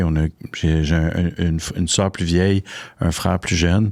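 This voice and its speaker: The speech comes at a fairly slow pace with flat, monotone intonation, in a dry, close sound with no echo, on a very clean recording with a silent background. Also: man. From Quebec, Laval. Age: 40s. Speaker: social entrepreneur. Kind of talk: interview. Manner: halting.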